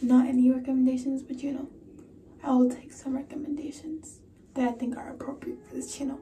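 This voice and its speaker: A woman speaks at a fairly quick pace in a high, flat, monotone voice over light background noise. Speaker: vlogger. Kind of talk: casual vlog chat. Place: home room. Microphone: phone near.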